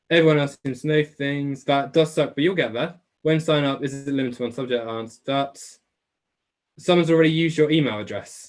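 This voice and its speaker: Very fast delivery with fairly even intonation. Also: man, fairly high pitch for a man. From England, Essex. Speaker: online biology tutor. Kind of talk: live webclass Q&A. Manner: casual, chatty.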